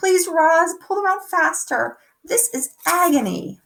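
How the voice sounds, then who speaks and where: In a squeaky, put-on character voice pitched extremely high, a woman speaks fairly slowly. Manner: pained, pleading, through gritted teeth.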